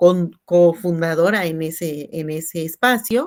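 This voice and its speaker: At a very slow pace, a woman talks with a fairly low pitch and ordinary pitch variation. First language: Tzeltal (speaking Spanish). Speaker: teacher and translator. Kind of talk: panel discussion. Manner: halting.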